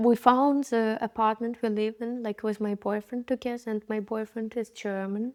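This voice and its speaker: Someone with a Ukrainian accent speaks at a moderate pace in a flat monotone, with hardly any pauses. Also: woman, fairly high pitch for a woman, dry, close sound with no echo, very clean recording, silent background. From Ukraine. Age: 20s. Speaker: interviewee, startup worker. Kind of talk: interview.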